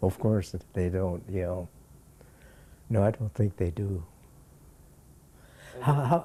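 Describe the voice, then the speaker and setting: A man with an American accent speaks very slowly at a fairly low pitch, his tone dark, mellow and somewhat breathy, with ordinary pitch variation and long, frequent pauses. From US West Coast, Los Angeles. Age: 90s. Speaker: retired pediatrician. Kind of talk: interview. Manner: halting.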